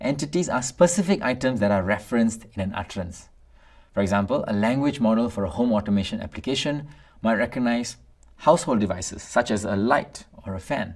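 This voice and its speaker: Fairly quick delivery on a very clean recording with a silent background. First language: Tamil. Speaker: instructor. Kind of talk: lecture. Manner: formal.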